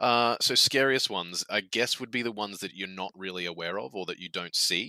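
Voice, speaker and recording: A man with an Australian accent, fairly low in pitch, bright and sharp in tone, at a fairly quick pace with ordinary pitch variation, in a dry, close sound with no echo. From Australia, Queensland. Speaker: game community guest on developer podcast. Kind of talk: casual interview chat. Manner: animated, some stammering.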